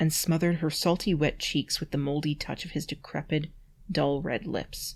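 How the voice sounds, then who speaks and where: A woman speaks in a dramatic tone at a very deep, low pitch, somewhat breathy, with fairly even intonation. Her pace is moderate, and the recording is very clean with a silent background. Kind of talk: dramatic reading of a bad fantasy story.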